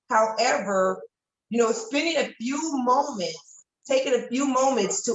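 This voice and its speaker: A normal speaking voice from a woman, with ordinary pitch variation at a fairly slow pace. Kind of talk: testimonial.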